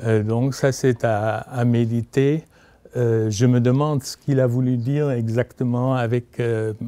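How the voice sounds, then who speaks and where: Very slow, monotone speech from a man, medium in pitch, with a dark, mellow tone and flat intonation. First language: German (speaking French). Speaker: literary historian, author. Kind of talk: book talk. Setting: bookshop event with audience. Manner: halting, many hesitations.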